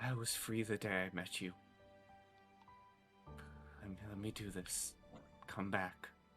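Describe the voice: A man does a put-on character voice, fairly low and shaky, over clear background music. He goes at a fairly slow pace with long, frequent pauses.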